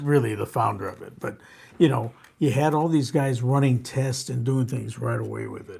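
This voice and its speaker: Medium-pitched man with an American accent, a dark, mellow and somewhat breathy tone, fairly even intonation, moderate pace and big swings in loudness. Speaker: veteran sportfishing captain. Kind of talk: live talk show interview answer.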